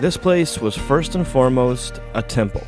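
A man's voice, dry and echo-free, over music in the background. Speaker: travel show host. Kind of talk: travel narration.

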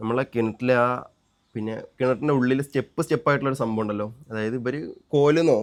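An unremarkable speaking voice from a man, mid-range in pitch and ordinary in its pitch movement. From Kerala, Kollam (Thiruvananthapuram-Kollam border). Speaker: family vlogger. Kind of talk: casual chat. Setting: outdoors.

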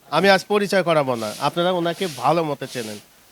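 With lively intonation, a man talks in a high pitch amid noticeable background noise. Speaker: video reporter. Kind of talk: street interview and presenting.

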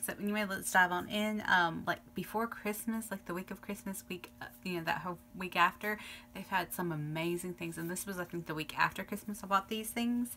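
A woman speaks at a fairly quick pace with hardly any pauses. Her intonation is fairly even over light background noise. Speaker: beauty vlogger. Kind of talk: casual vlog chat. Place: home room. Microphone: phone near.

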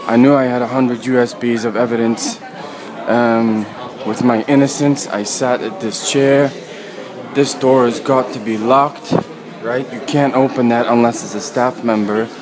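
The speech moves at a fairly slow pace with fairly even intonation, against noticeable background noise. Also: man. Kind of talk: agitated walking vlog commentary. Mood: agitated, accusatory. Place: station. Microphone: phone near.

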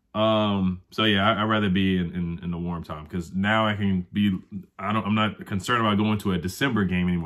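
A man with an American accent speaks at a very fast pace in a fairly low pitch. His intonation stays fairly even against a quiet background. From Prince George's County, Maryland (DC area); Maryland. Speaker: sports YouTuber; sports podcast host. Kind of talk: casual vlog commentary. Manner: fast, filler-heavy with repetitions. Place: home room. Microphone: earbuds.

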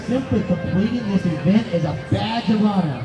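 A man at a fairly slow pace, with clear music in the background. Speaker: race announcer. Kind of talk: pre-race pep speech. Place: open country.

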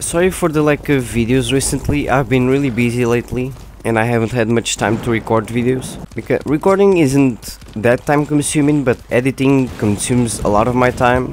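The man's pitch is medium with ordinary variation, and his loudness stays very even. He speaks at a moderate pace with hardly any pauses over noticeable background noise. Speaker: gamer. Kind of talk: casual gameplay commentary.

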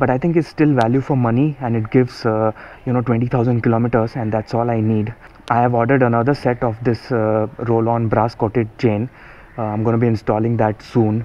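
The speaker is a man going at a fairly quick pace. He keeps a flat, monotone intonation. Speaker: motorcycle owner reviewing chain. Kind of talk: casual review commentary. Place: garage.

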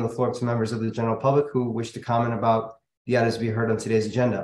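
A man talks at a very fast pace, with audible room echo and light background noise. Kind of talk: formal meeting procedure reading. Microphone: video call.

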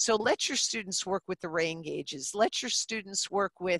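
A woman talks in a bright, sharp tone. The sound is dry with no echo, and the background is quiet. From New Jersey. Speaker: middle school teacher; teacher presenting in webinar. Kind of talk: webinar presentation. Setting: video call. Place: classroom. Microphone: headset.

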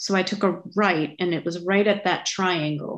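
Here a woman talks at medium pitch. Her pace is moderate. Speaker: committee member. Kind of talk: public meeting discussion. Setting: video call. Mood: conversational, mildly surprised. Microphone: video call.

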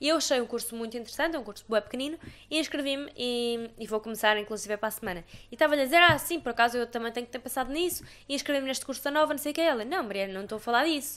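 An animated tone in a European Portuguese accent, at a very fast pace with ordinary pitch variation. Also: woman, high pitch for a woman. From Portugal. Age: 20s. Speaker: podcast host. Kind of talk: casual chat. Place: home room. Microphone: studio mic.

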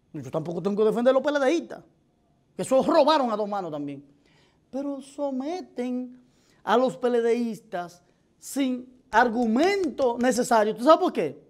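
A man with a Dominican accent and an extremely high pitch, lively intonation, a fairly slow pace and a quiet background. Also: big swings in loudness. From Dominican Republic. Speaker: political commentator. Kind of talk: opinion commentary. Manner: animated. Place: studio. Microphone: lapel.

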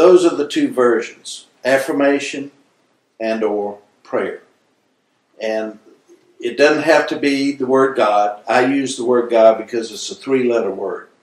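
In an American accent, a man talks at a fairly slow pace with long, frequent pauses and big swings in loudness, and audible room echo surrounds him. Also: ordinary pitch variation. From US South, South Carolina. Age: 60s. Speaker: spiritual healer; interviewee. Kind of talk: interview. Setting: filming location in Hawaii. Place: home room.

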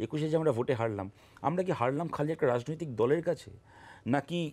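With vocal fry in his voice, a man speaks at a fairly high pitch with ordinary pitch variation. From West Bengal, India. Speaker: politician. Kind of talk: televised political debate. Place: studio.

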